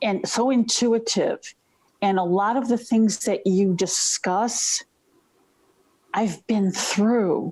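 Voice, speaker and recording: A woman with a fairly high pitch and a somewhat breathy voice speaks very slowly, with fairly even intonation, very even loudness, and long, frequent pauses. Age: 60s. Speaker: webinar participant. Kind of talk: personal sharing.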